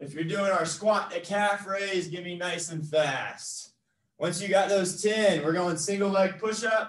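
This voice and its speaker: A man's high-pitched voice, fairly even in intonation and fairly slow, with audible room echo. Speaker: fitness trainer. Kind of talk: workout instruction. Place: gym. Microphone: camera far.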